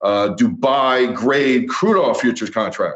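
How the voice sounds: Speaking at medium pitch, a man keeps his intonation fairly even.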